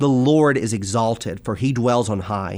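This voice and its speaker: A plain, everyday voice: a man at a medium pitch and moderate pace with ordinary pitch variation, on a very clean recording with a silent background. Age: 20s. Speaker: minister. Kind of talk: religious discussion.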